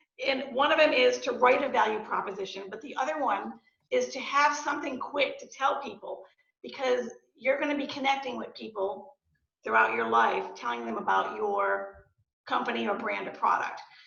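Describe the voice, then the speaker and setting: A woman talks at a moderate pace with big swings in loudness and audible room echo. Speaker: real estate agent and entrepreneur. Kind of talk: guest talk to student club. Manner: hesitant, many fillers.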